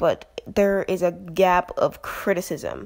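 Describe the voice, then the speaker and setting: A woman speaks quietly. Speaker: YouTuber commentator. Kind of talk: casual vlog commentary. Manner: quiet, close to the mic; rambling, hesitant. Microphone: very close to the mic.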